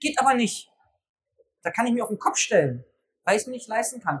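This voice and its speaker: A man is talking at a very fast pace. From Berlin, Germany. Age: 40s. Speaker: personal trainer business coach. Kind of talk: live talk to an audience. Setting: stage at a trade fair with audience.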